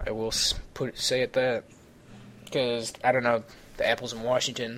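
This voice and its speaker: A man speaks with a Midwestern accent. His speech has long, frequent pauses. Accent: Midwestern drawl, noticeable. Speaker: podcast host. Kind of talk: casual chat. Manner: animated.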